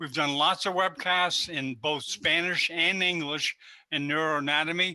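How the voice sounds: At a fairly slow pace, a man speaks with a bright, sharp tone, fairly high pitch and fairly even intonation.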